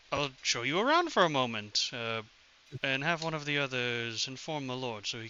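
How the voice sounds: A natural reading voice is heard. The pitch varies in an ordinary way.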